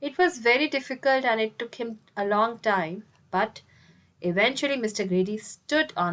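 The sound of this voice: This is an unforced reading voice. It carries the text through.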